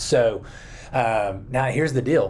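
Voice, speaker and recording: A man speaks somewhat breathily, with ordinary pitch variation. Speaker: children's pastor. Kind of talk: video talk to fellow children's ministry leaders. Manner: casual, many fillers.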